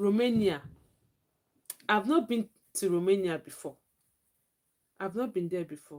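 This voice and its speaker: In a Nigerian accent, a woman speaks at medium pitch and a moderate pace with lively intonation. Her loudness swings widely, and she takes long, frequent pauses. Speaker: livestreamer. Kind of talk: live stream chat.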